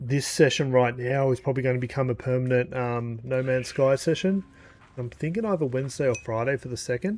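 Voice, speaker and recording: Talking at a fairly quick pace, a man with an Australian accent has a medium pitch and ordinary pitch variation. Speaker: gaming streamer. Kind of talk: live gameplay stream chat. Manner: casual, filler-heavy.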